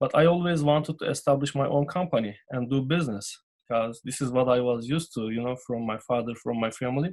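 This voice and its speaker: Over a quiet background, a man with a Turkish accent talks at a moderate pace with ordinary pitch variation. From Turkey. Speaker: business owner. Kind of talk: interview. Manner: halting, many fillers.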